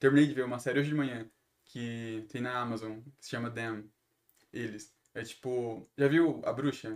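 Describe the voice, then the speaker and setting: A man with a medium pitch and fairly even intonation talks at a moderate pace. His loudness swings widely, and he leaves long, frequent pauses. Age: 20s. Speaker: singer, songwriter and podcaster. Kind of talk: casual chat.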